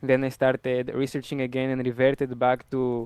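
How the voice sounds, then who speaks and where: A man speaks at a moderate pace. He has a strong Greek accent. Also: dry, close sound with no echo. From Greece. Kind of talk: debate introduction.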